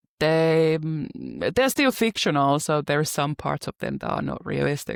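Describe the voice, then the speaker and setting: On a very clean recording with a silent background and a dry, close sound with no echo, a woman with a non-native accent speaks at a fairly slow pace. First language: not English. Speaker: romance author. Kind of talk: casual interview chat.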